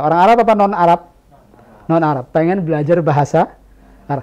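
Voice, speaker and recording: With ordinary pitch variation, this male speaker rushes along at a very fast pace in a high voice. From Indonesia. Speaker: Islamic preacher teaching Arabic. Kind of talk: religious lecture Q&A with audience. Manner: interactive, asks audience questions.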